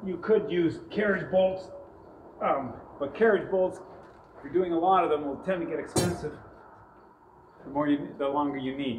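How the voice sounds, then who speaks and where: Against light background noise and audible room echo, a man talks at a moderate pace. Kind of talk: tutorial. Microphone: camera far.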